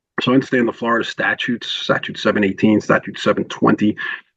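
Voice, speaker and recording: A man speaks at a fairly quick pace with a New York accent. The sound is dry and close, with no echo. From New York (Queens). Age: 60s. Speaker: telecom consultant. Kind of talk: podcast interview. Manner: hesitant, many fillers.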